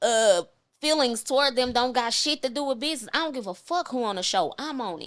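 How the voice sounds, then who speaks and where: At a fairly quick pace, a woman with an American accent and a high pitch speaks in an animated tone with lively intonation, in a very clean recording with a silent background. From St. Louis, Missouri (west side). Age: 40s. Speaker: comedian. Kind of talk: casual chat.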